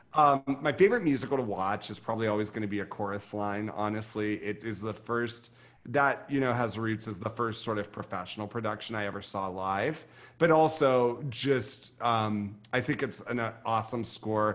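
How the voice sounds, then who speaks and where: Over a quiet background, a man speaks in an ordinary speaking voice at a moderate pace with ordinary pitch variation. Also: medium pitch for a man. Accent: American. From Ohio River valley, US (Ohio/West Virginia/Pennsylvania border). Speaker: vocal coach and music director. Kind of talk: interview.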